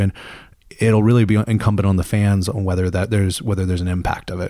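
A man with an American accent at a fairly low pitch, a monotone, flat intonation, and a very fast pace, in a very clean recording with a silent background. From US South, Mississippi. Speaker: football fan podcast panelist. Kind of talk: casual chat. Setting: living room.

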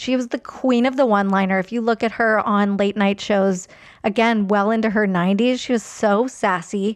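A woman's fairly high voice, a plain, everyday voice, at a moderate pace with very even loudness and fairly even intonation. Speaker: magazine editor. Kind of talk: casual interview chat.

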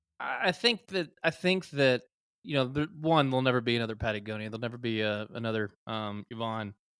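Talking at a fairly quick pace, a man with a Texan accent keeps a medium pitch and ordinary pitch variation. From Texas, small town north of Dallas. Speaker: geologist and clothing company co-founder. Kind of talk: casual interview chat.

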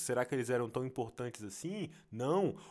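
A man is speaking. The audio is very clean, and the background is silent. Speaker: podcaster. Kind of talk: casual monologue. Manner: halting.

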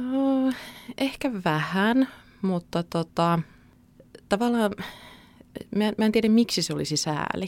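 Very slowly and with long, frequent pauses, a woman with a fairly high pitch speaks using lively intonation. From Central Finland (Keuruu). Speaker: newspaper journalist. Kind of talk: podcast interview.

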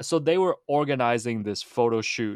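With a Canadian accent, the speaker has a plain, everyday voice and ordinary pitch variation. The recording is very clean, with a silent background. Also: man, dry, close sound with no echo. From Hong Kong, raised in Toronto. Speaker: basketball writer and author. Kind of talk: casual chat.

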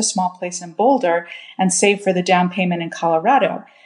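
A woman's plain, everyday voice at a fairly quick pace. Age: 40s. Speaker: caller. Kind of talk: recorded question.

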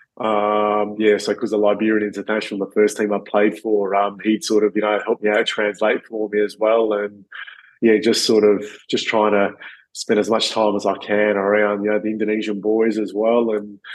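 Fairly low male voice, monotone with flat intonation. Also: moderate pace. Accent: Australian. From Perth, Western Australia. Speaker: retired professional footballer. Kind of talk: interview conversation. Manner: halting, many fillers.

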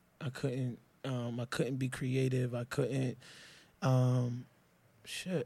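A man's medium-pitched, monotone, flat and somewhat breathy voice at a very slow pace with long, frequent pauses, very clean recording, silent background. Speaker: podcast guest. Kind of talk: casual chat.

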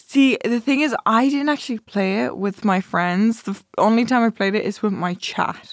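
With an Irish accent, a woman speaks at a fairly high pitch and moderate pace with ordinary pitch variation and hardly any pauses, in a dry, close sound with no echo on a very clean recording with a silent background. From Ireland. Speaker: Twitch streamer. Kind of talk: casual chat. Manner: loud.

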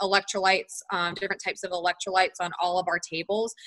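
A woman with an American accent speaks at a fairly quick pace in a medium pitch, her tone bright and sharp. Her intonation is monotone and flat, and the sound is dry and close with no echo. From US South, North Carolina (Charlotte). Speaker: sports nutritionist. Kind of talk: interview. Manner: frequent fillers (um, like).

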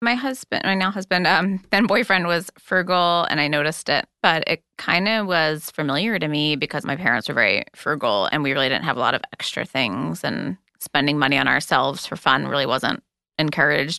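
This woman talks at a fairly quick pace with hardly any pauses, her very deep, low voice carrying vocal fry, a bright, sharp tone and lively intonation. The sound is dry and close with no echo, over a quiet background. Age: 30s. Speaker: freelance writer. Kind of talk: interview testimony.

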